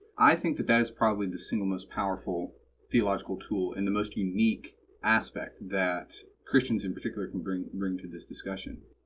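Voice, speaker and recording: A man with an American accent, a plain, everyday voice, ordinary pitch variation and a fairly quick pace. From suburban Texas. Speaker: student podcast host. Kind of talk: interview.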